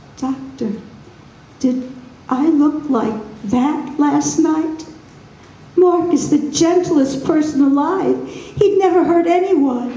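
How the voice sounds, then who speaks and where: A woman uses a put-on character voice, pitched high, with a slight echo around it. She talks at a very slow pace with long, frequent pauses. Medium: read story. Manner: timid, fearful.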